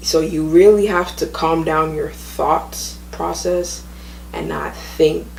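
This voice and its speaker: There is noticeable background noise here. A woman's voice comes through it. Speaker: person who stutters, sharing tips. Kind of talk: casual talk to camera. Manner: stutters at times.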